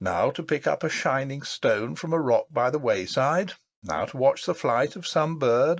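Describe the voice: Intonation is lively in this plain reading aloud. Nothing much stirs in the quiet background.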